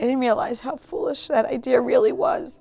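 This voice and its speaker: A put-on character voice, high-pitched and raspy, moves at a moderate pace over music in the background. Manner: sighing, despairing.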